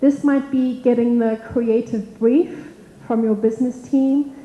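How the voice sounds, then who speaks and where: A woman's fairly high voice with ordinary pitch variation, at a moderate pace, over noticeable background noise. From South Africa, Cape Town. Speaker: technology evangelist. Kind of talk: conference talk.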